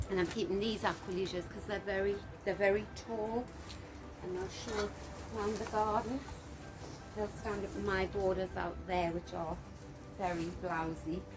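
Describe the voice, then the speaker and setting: A soft-spoken woman at a medium pitch talks at a moderate pace with fairly even intonation and long, frequent pauses, with audible room echo and music in the background. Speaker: gardening vlogger. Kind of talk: casual garden walkthrough. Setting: outdoors in garden.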